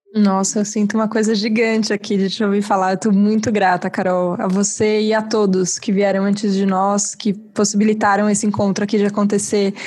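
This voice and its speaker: A woman speaks with monotone, flat intonation and very even loudness, hardly pausing, in a somewhat breathy voice. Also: medium pitch for a woman. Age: 30s. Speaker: podcast host. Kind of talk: casual interview conversation.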